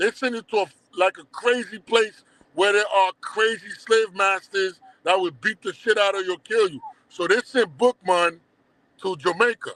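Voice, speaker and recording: A man's high-pitched voice, bright and sharp in tone, in a dry, close sound with no echo. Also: ordinary pitch variation, moderate pace. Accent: Haitian. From Brooklyn, New York (Crown Heights), born in Haiti. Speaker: documentary producer. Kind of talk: casual interview. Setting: live stream.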